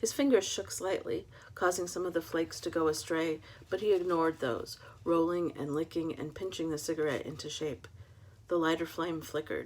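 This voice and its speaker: With an American accent, a woman talks at a fairly quick pace in an unremarkable speaking voice with ordinary pitch variation. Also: fairly low pitch for a woman. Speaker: author. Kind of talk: reading aloud; casual chat.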